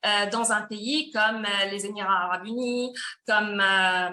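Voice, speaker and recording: Speaking at a fairly slow pace, a woman with a medium pitch uses a bright, sharp tone and ordinary pitch variation. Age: 30s. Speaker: company presenter. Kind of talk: sales pitch. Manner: hesitant with fillers.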